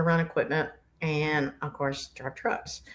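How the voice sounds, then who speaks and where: A woman's very deep, low voice with a strong Appalachian accent at a moderate pace, on a very clean recording with a silent background. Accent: Appalachian Southern accent, strong. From US South, Blue Ridge Mountains near Boone, North Carolina. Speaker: truck driver and fleet operations manager. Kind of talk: podcast interview.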